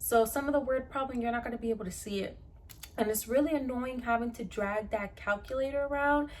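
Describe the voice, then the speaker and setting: A woman with a Spanish accent, high-pitched, very fast, with fairly even intonation. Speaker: pre-nursing student and YouTuber. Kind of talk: tutorial. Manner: casual, conversational.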